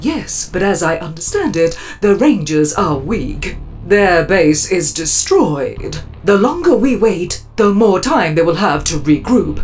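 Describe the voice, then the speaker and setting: A man performs a put-on character voice at a fairly slow pace. Clear music plays in the background. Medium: audio drama. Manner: languid, scheming.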